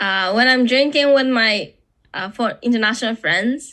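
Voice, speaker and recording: A woman with a Japanese accent has a high pitch, a bright, sharp tone and lively intonation on a very clean recording with a silent background. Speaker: podcast guest. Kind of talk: casual chat. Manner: halting.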